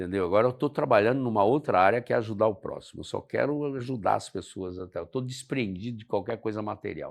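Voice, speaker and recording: Over a quiet background, a man talks at a very fast pace with hardly any pauses, medium pitch and ordinary pitch variation. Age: 70s. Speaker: pilot and motivational speaker. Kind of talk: casual interview chat.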